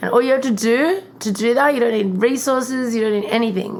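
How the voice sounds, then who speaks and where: In an Australian accent, a woman speaks at a fairly quick pace and fairly high pitch over noticeable background noise. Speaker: podcast host. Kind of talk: casual chat.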